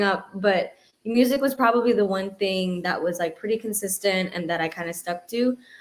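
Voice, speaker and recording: Here a woman speaks at a medium pitch and a moderate pace. Her pitch varies in an ordinary way. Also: hardly any pauses. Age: 20s. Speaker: singer-songwriter. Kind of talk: interview. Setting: livestream. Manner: halting.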